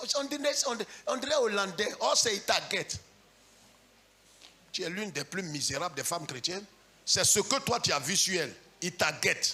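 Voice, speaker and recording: A loud man with a high pitch talks in an animated tone, his pitch swinging very widely between long, frequent pauses, with noticeable background noise behind him. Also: moderate pace. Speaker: pastor. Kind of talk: sermon.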